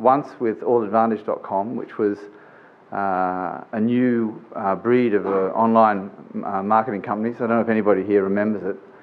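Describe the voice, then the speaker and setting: Flat, monotone intonation comes through with audible room echo. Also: man, fairly low pitch for a man, moderate pace. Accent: Australian. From Australia. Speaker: business executive, conference speaker. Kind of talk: conference presentation. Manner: informal, with many fillers.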